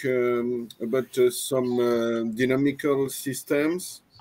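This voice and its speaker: The speech moves at a very slow pace with monotone, flat intonation, in a French accent. Noticeable background noise runs underneath. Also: man. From France. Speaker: mathematician. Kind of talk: panel discussion. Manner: halting, many hesitations.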